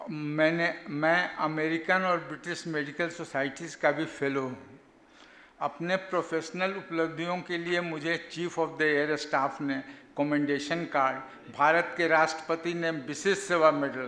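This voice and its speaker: Fairly even intonation against noticeable background noise. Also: man, fairly high pitch for a man. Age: 80s+. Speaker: doctor and yogi giving a talk. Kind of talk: talk at a health camp. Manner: halting.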